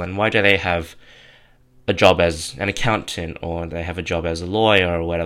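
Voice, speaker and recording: Intonation stays fairly even as a man with an Australian accent speaks in a very deep, low voice with a bright, sharp tone. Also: very clean recording, silent background. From southwestern Sydney, Australia. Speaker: podcast host, clothing brand founder. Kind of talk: solo monologue.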